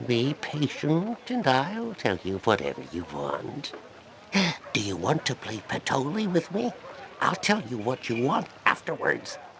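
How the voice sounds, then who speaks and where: A man puts on a character voice with a fairly high pitch and very wide pitch swings. He talks at a fairly slow pace over clear background noise. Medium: video game. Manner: wheedling, jovial.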